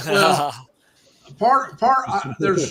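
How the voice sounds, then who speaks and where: With an Indiana accent, a man speaks at a very slow pace. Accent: Indiana Hoosier, Midwestern. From Indiana, lives in New York.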